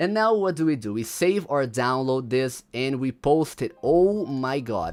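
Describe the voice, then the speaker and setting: A man with a non-native accent and very wide pitch swings at a moderate pace, in a very clean recording with a silent background. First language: not English. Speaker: gaming livestreamer. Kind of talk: livestream commentary. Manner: casual, halting with repetitions.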